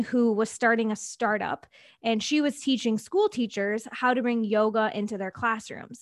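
A woman with an American accent and an unremarkable speaking voice, fairly high in pitch, at a moderate pace with ordinary pitch variation, on a very clean recording with a silent background. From Wisconsin, US Midwest. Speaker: business coach. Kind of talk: interview.

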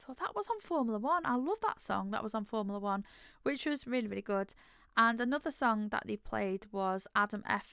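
A woman with an English accent talks at a fairly quick pace in a bright, sharp tone, her medium pitch varying in an ordinary way. The sound is dry and close with no echo, on a very clean recording with a silent background. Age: 30s. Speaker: podcast host. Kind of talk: solo monologue.

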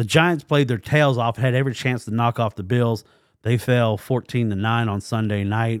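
A man talks fairly quickly at medium pitch with fairly even intonation, in a plain, everyday voice. The recording is very clean, its background silent. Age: 40s. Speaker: sports podcast host. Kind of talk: casual solo podcast commentary.

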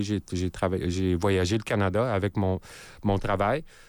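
The intonation stays fairly even throughout. The recording is very clean, with a silent background. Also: man. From Nunavut, Canadian Arctic (Iqaluit). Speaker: multidisciplinary artist and electronic musician. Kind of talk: radio interview. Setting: radio studio. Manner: halting, repeats words.

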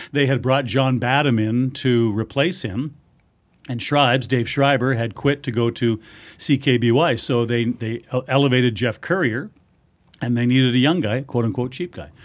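An unremarkable speaking voice, this man has a Canadian accent and a medium pitch. He talks at a fairly quick pace with ordinary pitch variation. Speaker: hockey radio play-by-play announcer. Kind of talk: casual interview chat.

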